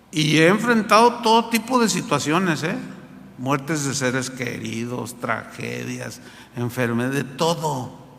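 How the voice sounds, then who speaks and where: Amid noticeable background noise and audible room echo, a man talks at a fairly slow pace in a fairly high pitch with very wide pitch swings. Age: 60s. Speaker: pastor. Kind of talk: sermon. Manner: animated.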